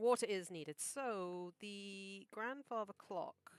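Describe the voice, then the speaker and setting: A very slow, lively-intoned voice with a dry, close sound and no echo. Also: woman. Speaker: animator streaming art process. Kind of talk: casual live stream commentary.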